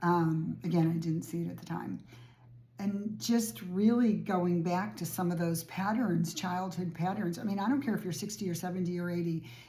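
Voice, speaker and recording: At a moderate pace, the voice is dark, mellow and somewhat breathy, with ordinary pitch variation. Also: woman. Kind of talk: casual talk to camera.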